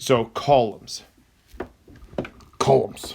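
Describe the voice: A man puts on a character voice at a medium pitch. The sound is raspy.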